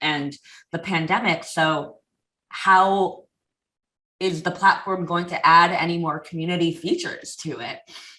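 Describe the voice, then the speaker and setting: With a bright, sharp tone and a fairly low pitch, a woman speaks in an animated way. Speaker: community manager at a software company. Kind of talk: podcast interview.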